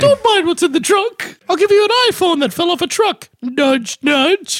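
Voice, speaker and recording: A put-on character voice at an extremely high pitch, with a moderate pace. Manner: sly, conspiratorial.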